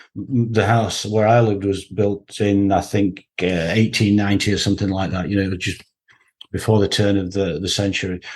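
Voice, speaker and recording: A man talks at a moderate pace, his fairly low pitch held in a monotone, flat intonation, with a quiet background behind him. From northern England, Huddersfield. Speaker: textile production expert. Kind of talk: interview.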